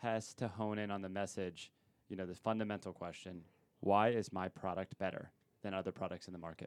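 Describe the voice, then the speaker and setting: A man talks in a normal speaking voice, pitched fairly low. His pace is fairly quick and his intonation fairly even. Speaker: podcast co-host. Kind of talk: casual professional discussion.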